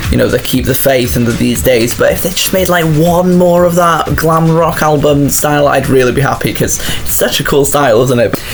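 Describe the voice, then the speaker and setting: Music plays behind the voice. The delivery is fairly quick. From UK. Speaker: music YouTuber. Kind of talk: casual solo commentary. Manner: enthusiastic.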